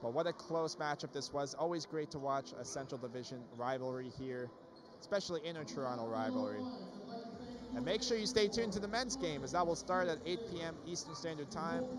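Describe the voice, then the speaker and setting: Sounding excited, a man with a fairly high voice talks at a moderate pace, his pitch swinging very widely. The sound is dry with no echo, though background noise is noticeable. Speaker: sports commentator. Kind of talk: live play-by-play sports commentary. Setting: broadcast of a basketball game. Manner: excited, punchy calls on made baskets. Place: hall. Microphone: headset.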